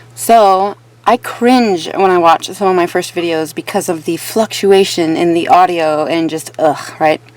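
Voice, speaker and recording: Medium-pitched female speech at a moderate pace, with ordinary pitch variation and noticeable background noise. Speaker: true crime YouTuber. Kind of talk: casual vlog monologue. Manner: lip smacking.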